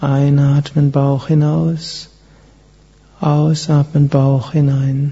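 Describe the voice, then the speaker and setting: The tone is calm and soothing. Speech moves at a very slow pace, with long, frequent pauses. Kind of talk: guided meditation. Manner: slow, calm, soothing, with long pauses; soft-spoken, gentle, measured.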